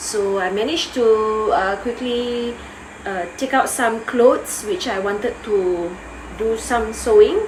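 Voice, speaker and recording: With audible room echo and noticeable background noise, a woman speaks slowly in a fairly high pitch. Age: 40s. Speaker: vlogger. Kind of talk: casual vlog chat. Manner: hesitant, with fillers.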